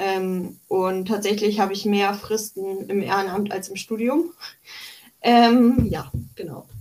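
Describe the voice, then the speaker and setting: Very slowly, a woman talks in a medium pitch that shifts in an ordinary way. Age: 20s. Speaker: psychology student and political activist. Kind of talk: interview.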